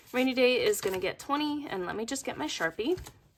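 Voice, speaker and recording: Noticeable background noise sits behind this woman's voice. She has a fairly high pitch and talks at a fairly quick pace. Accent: American. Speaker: cash budgeting vlogger. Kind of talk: casual vlog tutorial.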